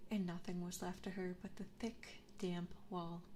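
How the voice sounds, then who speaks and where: A woman whispers, soft-spoken, at a fairly slow pace. There is noticeable background noise. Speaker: ASMR vtuber streamer. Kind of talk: storybook reading, fairy tale narration. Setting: binaural 3D microphone. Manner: soft, soothing, whispered.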